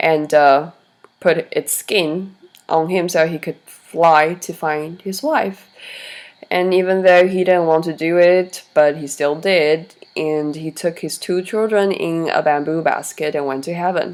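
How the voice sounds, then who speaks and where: The voice moves at a fairly slow pace with fairly even intonation. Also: woman, fairly low pitch for a woman. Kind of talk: story reading.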